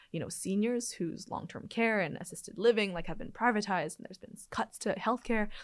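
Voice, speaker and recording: Speaking at a moderate pace, a woman uses a medium pitch with ordinary pitch variation. The recording is very clean, with a silent background. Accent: western Canadian. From Canada, British Columbia. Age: 20s. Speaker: political candidate. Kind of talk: interview. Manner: halting.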